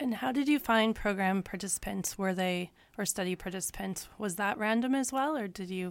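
An unremarkable speaking voice from a woman, medium in pitch, with lively intonation. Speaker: radio host. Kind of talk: casual chat. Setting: studio.

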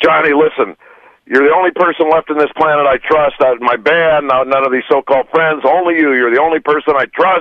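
A man puts on a guttural character voice at a fairly high pitch. He talks at a fairly quick pace with fairly even intonation. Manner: intense, desperate.

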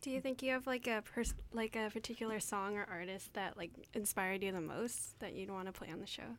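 A woman speaks in a plain, everyday voice of medium pitch with ordinary pitch variation. She talks at a fairly quick pace, with hardly any pauses. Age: young. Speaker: student radio co-host. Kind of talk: radio announcements and chat.

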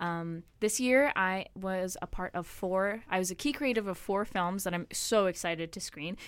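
A normal speaking voice from a woman at medium pitch, moderate pace with hardly any pauses, ordinary pitch variation, on a very clean recording with a silent background. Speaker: film production student. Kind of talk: casual chat. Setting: studio.

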